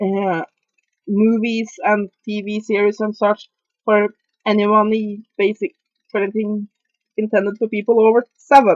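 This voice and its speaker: A woman with a strong Norwegian accent speaks at a fairly high pitch and a fairly slow pace, leaving long, frequent pauses. Her intonation is monotone and flat, and the sound is dry and close with no echo. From Norway. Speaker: video reviewer. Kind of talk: casual movie review monologue. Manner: halting, many fillers.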